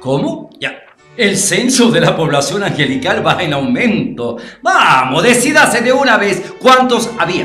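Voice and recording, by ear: Faint music plays in the background as a man puts on a character voice with high pitch and a bright, sharp tone. He uses big pitch swings at a fairly slow pace with few pauses.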